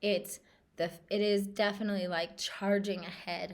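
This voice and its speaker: Woman's voice at medium pitch, monotone and flat in intonation. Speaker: spiritual coach and meditation guide. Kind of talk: casual talk to camera. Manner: casual, with fillers and repeated words.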